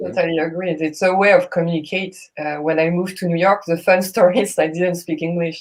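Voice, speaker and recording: In a French accent, a woman talks at a very fast pace with hardly any pauses, her fairly low pitch delivered in a monotone, flat intonation. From France. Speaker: jazz singer. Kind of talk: casual chat.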